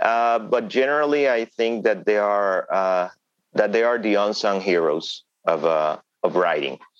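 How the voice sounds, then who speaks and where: A man speaks slowly-ish in a fairly low voice with lively intonation. His loudness stays very even throughout. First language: Spanish. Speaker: thriller novelist. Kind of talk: interview. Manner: hesitant with fillers.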